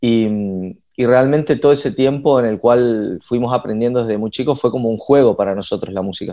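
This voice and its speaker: Over a quiet background, a man talks at a fairly quick pace with a medium pitch. His tone is dark and mellow, with ordinary pitch variation. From Argentina, Resistencia (Chaco, northeast). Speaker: singer, guitarist and music producer. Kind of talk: casual chat. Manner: halting, many repetitions and fillers.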